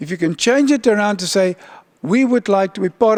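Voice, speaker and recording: A man speaks in a high voice with a South African accent at a moderate pace. The sound is dry and close, with no echo. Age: old. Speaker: UN agency official. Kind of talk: keynote speech.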